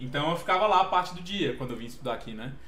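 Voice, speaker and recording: With noticeable background noise and audible room echo, a man talks at a very fast pace using lively intonation. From Minas Gerais, then Brasília from age 7. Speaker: podcast guest. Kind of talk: casual chat.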